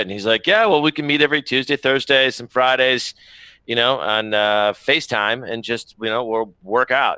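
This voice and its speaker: Bright and sharp, a man's voice moves at a moderate pace with ordinary pitch variation. The sound is dry, with no echo. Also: quiet background. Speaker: remote guest. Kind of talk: interview answer. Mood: upbeat, enthusiastic. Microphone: headset.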